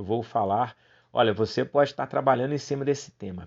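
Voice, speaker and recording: This man talks with lively intonation at a medium pitch. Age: 40s. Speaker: clown and theatre teacher. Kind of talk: unscripted solo podcast monologue.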